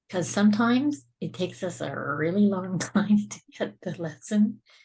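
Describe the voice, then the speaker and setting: A woman with a dark, mellow tone and a medium pitch speaks somewhat breathily at a moderate pace, her intonation lively. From Scotland. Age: 60s. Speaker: suicide survivor and speaker. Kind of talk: podcast interview.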